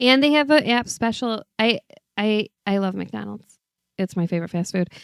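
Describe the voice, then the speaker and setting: Heard with a dry, close sound and no echo, a woman with a Midwestern accent speaks at a moderate pace in a medium pitch with ordinary pitch variation. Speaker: podcast co-host. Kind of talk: casual chat. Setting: studio. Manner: loud.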